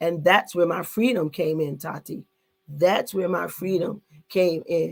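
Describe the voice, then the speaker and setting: A woman has an ordinary speaking voice with a fairly low pitch. She talks at a fairly slow pace with ordinary pitch variation. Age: 60s. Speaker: online talk show host, apostle. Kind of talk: live online discussion.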